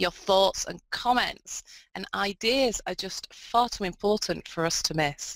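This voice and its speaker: A woman speaks at a fairly slow pace with a northern English accent. The sound is dry and close, with no echo. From northern England. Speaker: video conference facilitator. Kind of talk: instructions to students. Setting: video conference.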